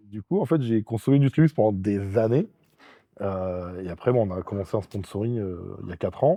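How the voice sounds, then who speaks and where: The voice moves at a fairly quick pace with a dark, mellow tone and ordinary pitch variation, its sound dry and close with no echo over a quiet background. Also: man, fairly low pitch for a man. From France. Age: 40s. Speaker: strongman athlete and sports coach. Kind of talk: casual interview chat. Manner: hesitant with frequent fillers.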